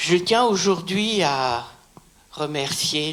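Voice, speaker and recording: A woman's voice with lively intonation. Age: 80s+. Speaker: baptism candidate. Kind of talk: testimony.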